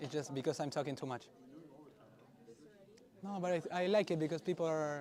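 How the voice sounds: The man's voice sits fairly high in pitch and has a slightly mellow tone.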